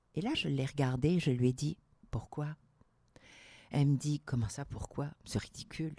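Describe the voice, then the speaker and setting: A woman speaks at a fairly slow pace in a very deep, low voice with a dark, mellow tone, ordinary pitch variation and big swings in loudness. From Algeria. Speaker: entrepreneur and public speaker. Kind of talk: interview conversation. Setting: studio. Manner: animated.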